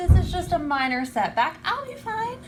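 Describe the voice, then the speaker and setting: A woman puts on a squeaky character voice at an extremely high pitch with very wide pitch swings, speaking at a moderate pace over clear background noise. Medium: short film.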